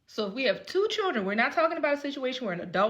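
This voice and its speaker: Very wide pitch swings run through a woman's speech. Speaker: lawyer. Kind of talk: casual talk to camera. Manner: fast.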